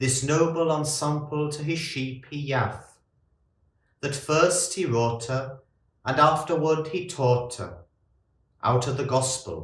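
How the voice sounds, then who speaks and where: A man speaks at a very slow pace, with long, frequent pauses. His voice is fairly high for a man, somewhat breathy, with fairly even intonation. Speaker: monk. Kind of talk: poetry reading.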